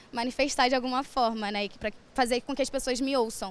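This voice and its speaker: At a fairly quick pace, a woman with a high pitch and ordinary pitch variation speaks in a dry sound with no echo. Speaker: rapper, poet and student. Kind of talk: spoken word poetry. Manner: rhythmic, rhyming, punchy and defiant delivery. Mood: earnest, reflective, somewhat indignant. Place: hall. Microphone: handheld.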